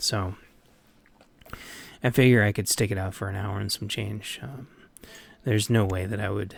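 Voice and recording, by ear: A man puts on a raspy character voice, fairly low in pitch, moving at a moderate pace with fairly even intonation and long, frequent pauses.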